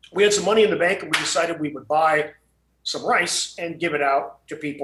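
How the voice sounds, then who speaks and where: This man talks at a very fast pace. His pitch variation is ordinary. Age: 70s. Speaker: landmine clearance charity founder. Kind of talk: interview.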